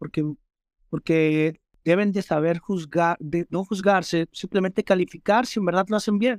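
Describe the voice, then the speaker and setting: A man with a Mexican accent speaks at a high pitch with fairly even intonation, the sound dry and close with no echo. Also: very clean recording, silent background. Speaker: rapper. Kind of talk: interview. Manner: halting, repeats words.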